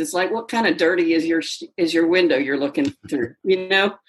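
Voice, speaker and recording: A woman with an American accent speaks in a normal speaking voice at a medium pitch, her intonation lively. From Mississippi, US South. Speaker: yoga teacher and coach. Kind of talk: casual interview.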